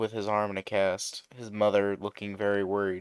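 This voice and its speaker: In a dry, close sound with no echo, a man with a fairly low voice speaks at a moderate pace in a monotone, flat intonation. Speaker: YouTube fan-fiction narrator. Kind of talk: casual outro to viewers; story narration. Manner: lazy-sounding.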